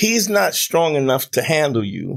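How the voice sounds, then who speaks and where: Against a quiet background, a man speaks at a moderate pace with lively intonation. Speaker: podcast guest, comedian. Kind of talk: interview answer. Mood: confident, humorous. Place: studio. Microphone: studio mic.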